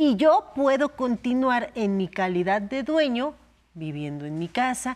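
A woman speaks at a fairly slow pace. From Mexico. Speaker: lawyer. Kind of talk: legal advice explanation in a talk show. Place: studio.

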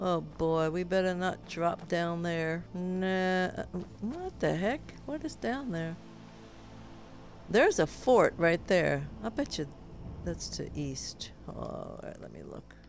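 With music in the background, a woman speaks very slowly, taking long, frequent pauses as her loudness swings widely. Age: 70s. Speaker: gamer streamer. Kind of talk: casual gameplay commentary.

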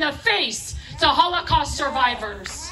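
A woman's raised, projected voice with lively intonation over light background noise. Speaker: rally speaker. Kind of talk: rally speech, fiery political appeal to a live crowd. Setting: outdoor rally stage with audience. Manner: passionate, emphatic, punchy repeated phrases, crowd-rousing; urgent, preaching tone with audience interjections. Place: stage. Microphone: pa.

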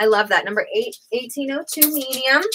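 Raised and projected, the voice carries a bright, sharp, animated tone over light background noise. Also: woman. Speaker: online clothing seller. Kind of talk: live sales pitch. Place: shop. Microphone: webcam.

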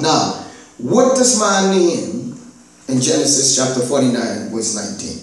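Amid strong room echo, a man with a fairly high pitch speaks in an animated tone with very wide pitch swings. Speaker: pastor. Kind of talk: sermon / Bible teaching to a congregation. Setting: church. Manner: animated, rousing preacher's delivery with call-and-response repetition; repeats key lines for emphasis, punctuated with Amen and Hallelujah. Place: church. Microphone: camera far.

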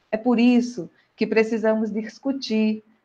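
Speaking at a very slow pace, a woman with a Brazilian accent uses a fairly high pitch. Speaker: psychologist and professional council president. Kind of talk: online panel discussion. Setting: video call livestream.

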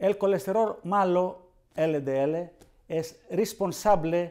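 A man with a high, dark, mellow voice speaks with ordinary pitch variation over a quiet background. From Greece. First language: Greek (speaking Spanish). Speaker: cardiologist. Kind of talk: educational interview; interview answer. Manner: halting. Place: studio. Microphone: lapel.

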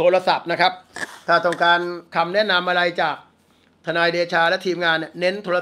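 Bright and sharp in tone, this man's voice sits at a high pitch. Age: 60s. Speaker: lawyer and news commentator; lawyer, news commentator. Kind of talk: casual news commentary monologue. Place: home room. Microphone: phone near.

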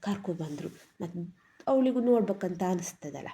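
Somewhat breathy, a woman with a Malnad accent speaks in a dark, mellow tone. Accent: Malnad Kannada dialect. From Malnad region, Karnataka. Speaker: vlogger. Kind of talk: travel vlog. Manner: casual, chatty.

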